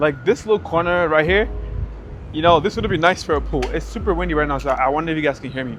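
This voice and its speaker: Noticeable background noise fills the recording. Over it, a man speaks at a very fast pace. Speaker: vlogger. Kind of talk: apartment tour vlog. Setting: outdoors on building terrace. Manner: casual.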